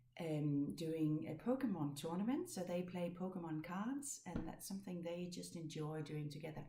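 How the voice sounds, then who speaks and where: A woman with a Danish accent speaks at a moderate pace with hardly any pauses, her fairly low voice somewhat breathy with a dark, mellow tone. Her pitch varies in an ordinary way, and room echo is audible. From Denmark. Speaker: knitting podcaster. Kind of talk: casual chat. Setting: home. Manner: halting.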